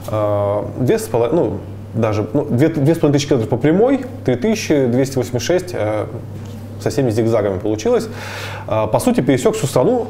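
Light background noise runs under a man speaking at a medium pitch with ordinary pitch variation. His pace is fairly slow, with long, frequent pauses. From Bashkortostan, Russia (Ufa area); Bashkortostan, Russia. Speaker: traveler and entrepreneur; guest. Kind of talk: interview. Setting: coffee shop. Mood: calm, reflective. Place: cafe. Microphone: lapel.

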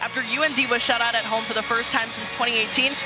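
Clear music plays in the background. Over it, a woman talks at a very fast pace. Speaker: sports reporter and host. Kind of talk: reporter stand-ups, live hits and interview questions. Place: stadium. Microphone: handheld.

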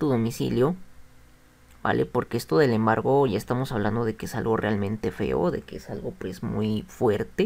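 A man's voice with very wide pitch swings and vocal fry, on a very clean recording with a silent background. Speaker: YouTube vlogger sharing a consumer complaint. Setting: solo video recording to camera. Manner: conversational, repeats words like 'pues' and 'bueno'.

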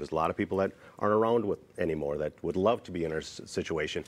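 Talking at a very fast pace, a man uses lively intonation. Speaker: keynote speaker. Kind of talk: interview answer. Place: studio. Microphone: lapel.

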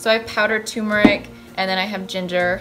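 Faint music sits in the background as a woman talks at a very fast pace. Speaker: recipe vlogger. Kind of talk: casual vlog chat. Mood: cheerful, enthusiastic. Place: kitchen. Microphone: phone near.

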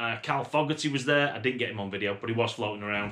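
A man speaks with a bright, sharp tone. His pitch variation is ordinary. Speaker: motorbike vlogger. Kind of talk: casual vlog chat. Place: home room. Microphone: camera far.

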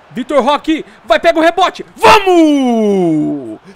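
Speaking very slowly in a raised, projected voice, a man swings his pitch very widely. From Brazil. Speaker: gaming youtuber; gaming streamer. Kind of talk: gameplay commentary. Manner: animated. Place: home room.

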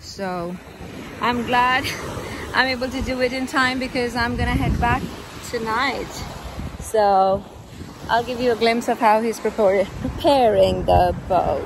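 A fairly slow delivery with long, frequent pauses, dry and echo-free, over noticeable background noise. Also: woman, fairly even intonation. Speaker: travel vlogger. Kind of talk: casual vlog chat. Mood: relieved, cheerful. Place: beach. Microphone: phone near.

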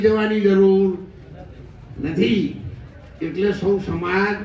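A man's voice with fairly even intonation, audible room echo and music in the background. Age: 70s. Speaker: religious leader. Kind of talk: speech to community gathering.

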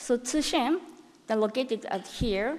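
With a Japanese accent and lively intonation, a woman speaks at a high pitch. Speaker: cancer researcher. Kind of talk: conference talk. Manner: halting. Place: hall.

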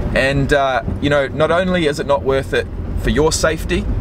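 Noticeable background noise under a man's dry voice with no echo. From New Zealand, Christchurch. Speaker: vlogger. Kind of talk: personal vlog storytelling. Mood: reflective, storytelling. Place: car. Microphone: phone near.

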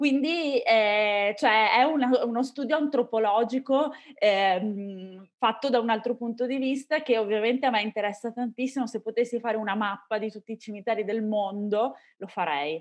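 Pitch varies in an ordinary way as the speech moves along at a moderate pace. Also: woman, fairly high pitch for a woman, quiet background. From Venice, Italy; Italy. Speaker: podcaster. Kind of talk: interview. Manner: calm. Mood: calm, enthusiastic. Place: home room. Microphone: video call.

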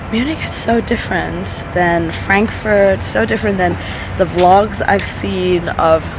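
Noticeable background noise accompanies a woman speaking at a fairly slow pace, the sound dry with no echo. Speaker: travel vlogger. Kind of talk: casual vlog chat. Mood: enthusiastic, delighted. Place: forest. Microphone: phone near.

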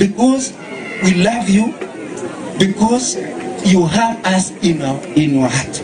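Crowd noise fills the background as a man talks at a very slow pace. His pitch is high. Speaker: speaker. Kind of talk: public address to a crowd. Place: open country. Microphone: handheld.

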